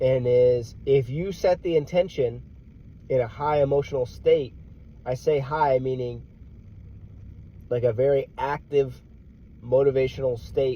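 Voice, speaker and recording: A man with an American accent speaks at a moderate pace in a medium pitch, with a dark, mellow, somewhat breathy tone, ordinary pitch variation, and long, frequent pauses. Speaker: motivational vlogger, military veteran. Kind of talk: casual motivational monologue.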